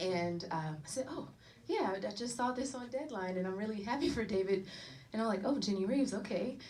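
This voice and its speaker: In a room with audible echo, a woman with a medium-pitched voice and an American accent talks at a fairly quick pace with lively intonation. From North Carolina, US South. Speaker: actor. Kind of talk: panel Q&A at screening. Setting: private screening with audience.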